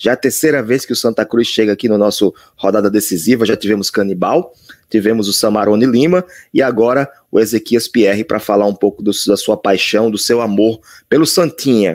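Using a normal speaking voice, a man talks fairly quickly with ordinary pitch variation. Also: fairly low pitch for a man, very even loudness. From Brazil, born 1980s. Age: 30s. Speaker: podcast host. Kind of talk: interview podcast.

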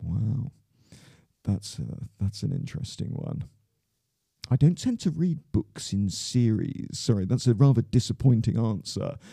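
A man's medium-pitched, somewhat breathy voice with a dark, mellow tone, lively intonation, a fairly slow pace and long, frequent pauses. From southwest England (Plymouth, Devon). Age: 50s. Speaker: school headmaster. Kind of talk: interview. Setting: studio.

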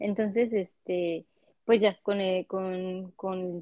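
A woman's medium-pitched voice with a Mexican accent. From Mexico, Cancún. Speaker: immigrant guest. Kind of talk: casual interview chat.

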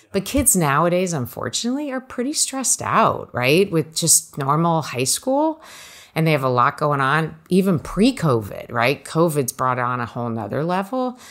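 An American accent with very wide pitch swings at a moderate pace, in a very clean recording with a silent background. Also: woman, fairly low pitch for a woman. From New Jersey. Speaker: college financial planning advisor. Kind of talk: interview conversation.

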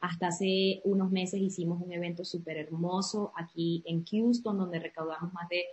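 At a fairly slow pace, a woman speaks in a somewhat breathy voice of medium pitch. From Venezuela, Andes (Trujillo state). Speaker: entrepreneur and community founder. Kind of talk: interview.

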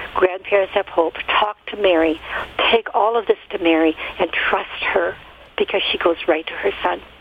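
Against noticeable background noise, a woman speaks at a moderate pace with fairly even intonation and very even loudness. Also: medium pitch for a woman. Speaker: caller. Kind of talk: casual chat sharing testimony. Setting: phone call.

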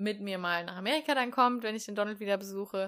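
At a fairly quick pace, a woman speaks at medium pitch with a bright, sharp tone. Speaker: podcast co-host. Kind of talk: casual chat.

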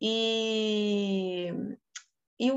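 This woman's voice sits at a medium pitch. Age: 30s. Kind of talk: casual chat.

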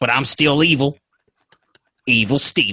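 A man performs a put-on character voice at a fairly high pitch and a moderate pace. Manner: cocky, rhyming swagger.

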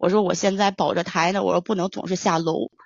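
With vocal fry, a woman talks at a fairly quick pace. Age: 20s. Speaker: caller. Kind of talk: personal account.

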